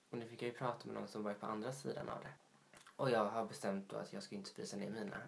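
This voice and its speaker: The speaker races along at a very fast pace with vocal fry. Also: man, fairly low pitch for a man, ordinary pitch variation. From Småland, Sweden (Vetlanda). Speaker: podcast co-host. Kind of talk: casual chat.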